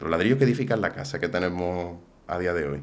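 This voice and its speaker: A man's very deep, low voice in an Andalusian accent, at a fairly quick pace with very wide pitch swings. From Andalusia, Umbrete (Seville). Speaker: political commentator. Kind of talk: casual interview chat.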